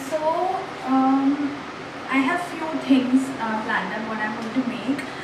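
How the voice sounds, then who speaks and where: At a fairly slow pace and with ordinary pitch variation, the voice comes through audible room echo and noticeable background noise. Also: woman. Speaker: home cooking vlogger. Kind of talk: casual vlog chat. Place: kitchen. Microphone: phone near.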